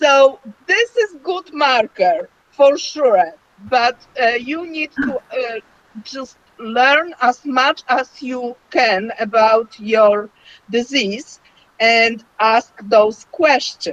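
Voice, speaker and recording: Her voice is high and her intonation lively as she talks at a very slow pace. The sound is dry and close, with no echo. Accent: non-native. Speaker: myeloma patient. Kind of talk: online panel discussion. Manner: halting.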